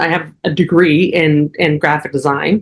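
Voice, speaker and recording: Someone with an American accent speaks at a fairly slow pace. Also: woman. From New Jersey. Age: 40s. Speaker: astrologer. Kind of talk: casual interview chat.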